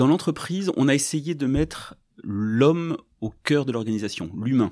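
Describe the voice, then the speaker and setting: Recorded very cleanly against a silent background, a man speaks at a fairly slow pace. His tone is dark and mellow, his pitch fairly high and his intonation lively. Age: 50s. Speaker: company director. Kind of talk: podcast interview. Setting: on location at company premises. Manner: halting, with many hesitations.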